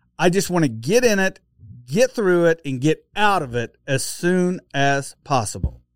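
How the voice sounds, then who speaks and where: Speaking with an Oklahoma accent, a man uses a high pitch with very wide swings at a fairly slow pace. The sound is dry and close with no echo, on a very clean recording with a silent background. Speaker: podcast host.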